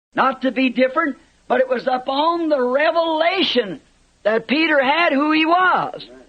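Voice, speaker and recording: At a moderate pace, a man talks at extremely high pitch with very even loudness. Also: ordinary pitch variation. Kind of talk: sermon preaching.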